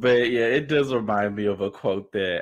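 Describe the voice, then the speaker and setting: A man talks at a moderate pace in an unremarkable speaking voice, his intonation fairly even. The background is quiet. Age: 20s. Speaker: streamer. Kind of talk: casual chat.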